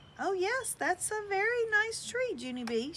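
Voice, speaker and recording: A squeaky, put-on character voice swings very widely in pitch at a moderate pace over clear background noise. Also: woman, extremely high pitch for a woman. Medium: read story. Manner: patient, strained.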